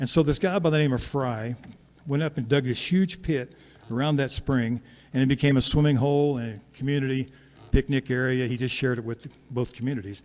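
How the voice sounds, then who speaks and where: A man talks at a fairly quick pace in a medium pitch with ordinary pitch variation, a plain, everyday voice. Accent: American. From Kansas. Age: 60s. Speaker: singer and storyteller. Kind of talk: storytelling between songs. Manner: conversational.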